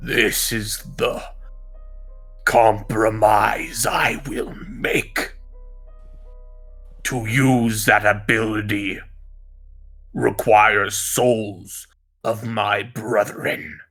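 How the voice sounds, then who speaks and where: In a put-on character voice, a man growls and bellows at a medium pitch, very slowly, with long, frequent pauses. Faint music plays in the background. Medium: actual play. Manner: solemn, commanding.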